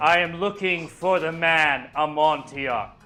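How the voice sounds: A man's put-on character voice, fairly high in pitch and fairly slow, with faint music in the background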